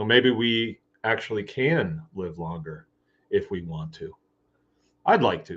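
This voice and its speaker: A man with a Michigan accent and lively intonation. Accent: US Midwest (Michigan). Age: 60s. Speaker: farmer and livestream host. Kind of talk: casual live chat. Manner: conversational, rambling pace with fillers.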